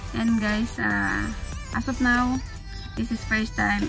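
The speech moves at a very slow pace while clear music plays in the background. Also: woman. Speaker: reaction video creator. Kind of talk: casual vlog chat. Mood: amazed, enthusiastic.

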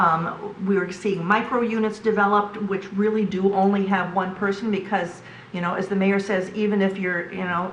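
A woman speaks at a moderate pace in a monotone, flat intonation, with hardly any pauses. Noticeable background noise and audible room echo fill the recording. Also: medium pitch for a woman. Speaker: planning commissioner. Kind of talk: public meeting deliberation. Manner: loud; hesitant, many fillers.

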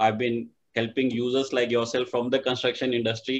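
This man's medium-pitched voice moves at a moderate pace with monotone, flat intonation. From India. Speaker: event organizer, tech company executive. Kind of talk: formal introduction. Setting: video call. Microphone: video call.

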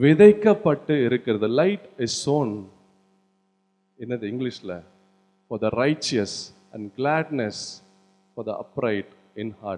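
Over music in the background, a man with a medium pitch sounds energetic, his pitch swinging very widely and his loudness rising and falling in big swings. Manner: energetic, exhortative, rousing the audience. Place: church. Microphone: handheld.

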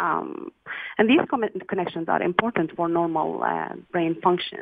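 The sound is dry with no echo, and the speaking moves at a moderate pace. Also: woman. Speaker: guest. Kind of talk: interview answer.

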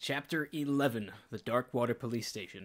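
Using a normal speaking voice, a man of medium pitch talks at a fairly quick pace with ordinary pitch variation. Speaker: let's play commentator. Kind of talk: gameplay commentary reading in-game text.

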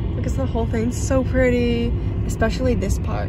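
Loud background noise around a woman speaking, the sound dry with no echo. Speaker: vlogger. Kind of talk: casual vlog chat. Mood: excited, delighted. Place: car.

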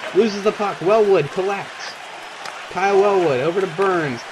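Over crowd noise in the background, a man with a high pitch talks at a moderate pace. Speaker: video game commentator. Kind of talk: live sports commentary over a simulated hockey game. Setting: gaming video with voiceover. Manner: fills gaps with hesitant 'uh' and 'um'.

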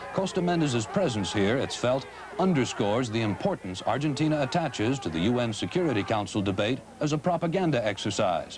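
At a fairly quick pace, a man talks at medium pitch with very wide pitch swings and very even loudness. Noticeable background noise is present. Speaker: TV news correspondent reporting. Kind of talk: field news report voiceover.

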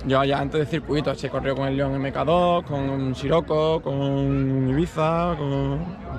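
A man speaks at a very slow pace with hardly any pauses, his pitch fairly high and his intonation fairly even. The sound is dry with no echo, though noticeable background noise is present. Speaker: racing driver. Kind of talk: casual interview. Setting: outdoors. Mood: calm, slightly disappointed. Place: open country. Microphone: phone near.

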